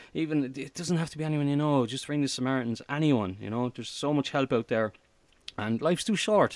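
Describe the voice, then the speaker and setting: The speaker talks at a very fast pace. The accent is Irish. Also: man, fairly high pitch for a man, ordinary pitch variation. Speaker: comedy podcast host. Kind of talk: interview. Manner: halting.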